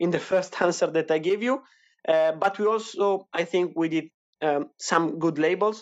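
Speaking with an Italian accent, a man talks in a high pitch at a moderate pace. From Italy, Emilia-Romagna. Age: 20s. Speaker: wine producer. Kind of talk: interview. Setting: online audio chat room.

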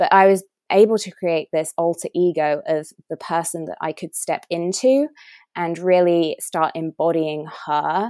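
On a very clean recording with a silent background and a dry, close sound with no echo, a woman with an English accent speaks at a fairly slow pace in a fairly low pitch, her dark, mellow tone showing ordinary pitch variation. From England. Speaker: nutritionist and wellness coach. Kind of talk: interview.

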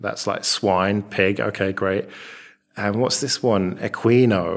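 Fairly even intonation in a man's fairly low-pitched speech. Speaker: podcast host. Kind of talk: casual chat. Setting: rented flat abroad. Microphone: echoey room.

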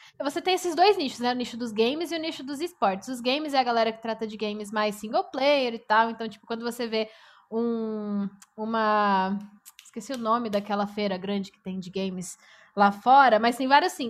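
In a plain, everyday voice, a woman with a fairly high pitch speaks at a moderate pace, her intonation lively and her loudness swinging widely. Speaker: esports presenter and journalist. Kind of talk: casual chat.

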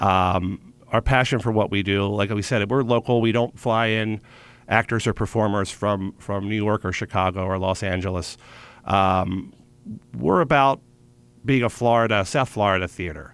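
A man with an American accent talks at a moderate pace in a normal speaking voice. His pitch is fairly low, with ordinary pitch variation. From Philadelphia, Pennsylvania. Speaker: theater artistic director. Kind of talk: radio interview.

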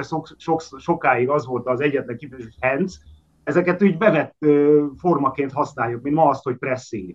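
A man speaks in a normal speaking voice at a fairly high pitch. His pitch variation is ordinary. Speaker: linguist guest. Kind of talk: explanatory discussion on language. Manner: formal, explanatory.

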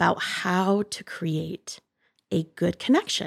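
A woman speaks at a very slow pace in an American accent, her pitch medium. The sound is dry and close with no echo, on a very clean recording with a silent background. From US Midwest, Northwest Ohio. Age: 30s. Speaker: podcast co-host. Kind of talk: casual chat.

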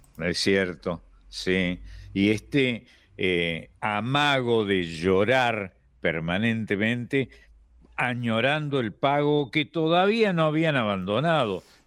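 A man speaks with an Argentine accent. His pitch swings very widely. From Argentina, not the litoral. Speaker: radio host. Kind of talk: radio conversation.

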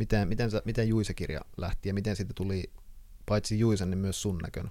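A man speaks at a moderate pace in a fairly low pitch with a dark, mellow tone. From Finland, Kuopio. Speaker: podcast host, writer. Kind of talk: interview. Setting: guest's workroom.

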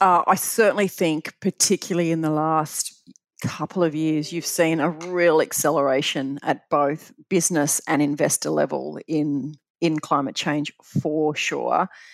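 Here a woman with an Australian accent speaks fairly slowly in a very deep, low voice with fairly even intonation. The sound is dry and close, with no echo. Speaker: pension fund chief executive. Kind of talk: interview. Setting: remote call.

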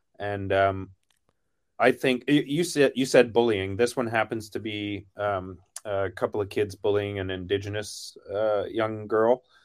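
A man's unremarkable speaking voice with a Canadian accent, fairly low in pitch, at a fairly slow pace with fairly even intonation, on a very clean recording with a silent background. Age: 50s. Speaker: advertising creative. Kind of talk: casual chat.

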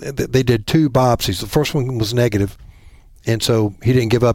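Speaking fairly quickly with a Southern US accent, a man holds a medium pitch and fairly even intonation. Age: 50s. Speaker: bowhunter. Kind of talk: casual chat.

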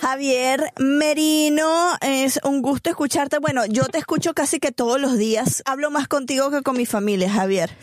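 In a Venezuelan accent, the speaker keeps a very even loudness with hardly any pauses. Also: woman, high pitch for a woman, ordinary pitch variation, moderate pace. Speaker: podcast host. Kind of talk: casual chat; news reading.

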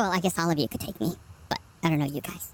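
Pitched in the middle range, a put-on character voice rattles along at a very fast pace. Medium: actual play. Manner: polite, gentle, genteel.

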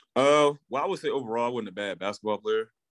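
A man speaks with an Alabama accent. The sound is dry and close, with no echo. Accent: Southern US (Alabama). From US South, Alabama (Pleasant Grove). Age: 20s. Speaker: professional football player. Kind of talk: interview. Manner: hesitant, many fillers.

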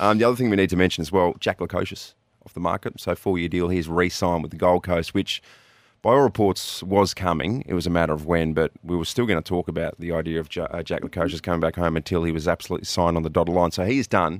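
A man with a very deep, low voice and an Australian accent speaks at a very fast pace with ordinary pitch variation, recorded very cleanly against a silent background with a dry, close sound and no echo. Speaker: radio host. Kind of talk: casual chat. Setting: studio. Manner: animated.

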